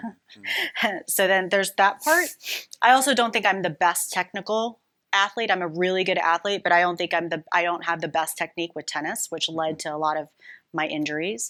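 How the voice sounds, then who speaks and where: On a very clean recording with a silent background, a woman speaks at a fairly quick pace. Her pitch is fairly low, her tone bright and sharp, with ordinary pitch variation. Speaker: podcast host. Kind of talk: casual conversation.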